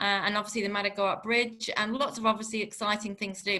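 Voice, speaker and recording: A woman's fairly high-pitched voice has a bright, sharp tone. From Channel Islands. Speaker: tourism representative. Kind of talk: webinar presentation.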